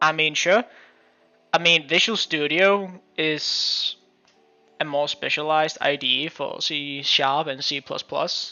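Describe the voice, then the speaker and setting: Someone with a Danish accent speaks at a very slow pace. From Denmark. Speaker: game development teacher and streamer. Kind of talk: live stream coding session. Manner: casual, halting with fillers.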